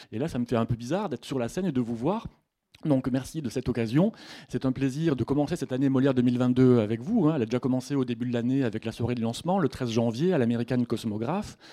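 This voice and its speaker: With a southern French accent, a man talks at a very fast pace in a medium pitch, his tone dark and mellow and his pitch variation ordinary, over a quiet background. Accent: southern French (Midi). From Haute-Provence, Sisteron. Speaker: literature lecturer. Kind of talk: lecture. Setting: bookshop stage with audience.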